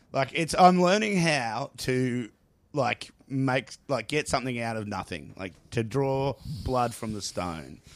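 A man speaks very slowly with an Australian accent, his pitch in the medium range. His pitch swings very widely, and the recording is very clean with a silent background. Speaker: comedian. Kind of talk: stand-up comedy. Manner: profane, animated, heckling the crowd.

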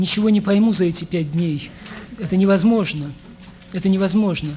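This man's voice is high-pitched and nervous in tone. Noticeable background noise runs behind him. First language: Russian. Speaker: poet. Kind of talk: poetry reading in Russian.

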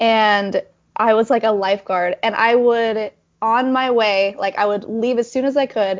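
At a high pitch and fairly slow pace, a woman talks with a Utah accent and ordinary pitch variation. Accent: Utah American English. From northern Utah. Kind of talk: casual interview chat.

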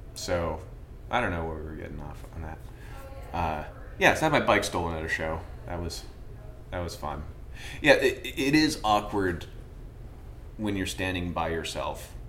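A man with a very deep, low voice speaks with long, frequent pauses and big swings in loudness, and the room echo is audible. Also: ordinary pitch variation, moderate pace. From Vermont. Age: 30s. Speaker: painter. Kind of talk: casual interview chat. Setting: art gallery studio.

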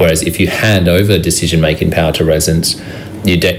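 Over noticeable background noise and audible room echo, a man with an Australian accent talks at a very fast pace with a very deep, low pitch. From Brisbane, Australia. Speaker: city councillor. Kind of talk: radio interview.

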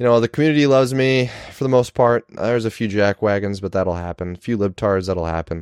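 Speaking fairly quickly with an American accent, a man uses an ordinary speaking voice that sits fairly low and has ordinary pitch variation. The sound is dry and close with no echo, and the background is quiet. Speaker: podcast host. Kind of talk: casual monologue. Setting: recording at home.

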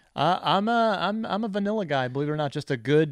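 Loud and fairly quick, a man speaks with very wide pitch swings over a quiet background. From New Jersey. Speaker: video game journalist and show host. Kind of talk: casual storytelling interview.

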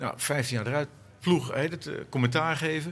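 A somewhat breathy male voice at a very fast pace with ordinary pitch variation. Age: middle-aged. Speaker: organisation consultant, former cycling commentator. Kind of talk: panel discussion. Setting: live event at a festival. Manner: halting.

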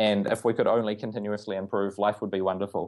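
A man at a fairly quick pace, in a New Zealand accent. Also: quiet background. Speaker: agile coach. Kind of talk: interview.

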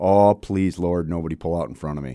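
An American-accented man speaks with a very deep, low voice. His pitch variation is ordinary. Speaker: radio talk show host. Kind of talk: talk radio conversation. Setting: radio studio. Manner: energetic.

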